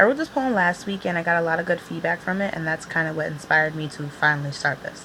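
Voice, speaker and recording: A woman speaks at a fairly quick pace with a fairly low pitch and ordinary pitch variation. Noticeable background noise can be heard. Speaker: poet. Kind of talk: poetry reading; casual vlog talk. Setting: home video recording on iPad.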